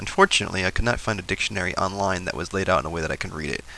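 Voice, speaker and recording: Noticeable background noise sits behind this recording. A man with a very deep, low pitch talks at a very fast pace. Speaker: YouTuber. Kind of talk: reading aloud; casual vlog intro. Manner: halting, stumbling reading.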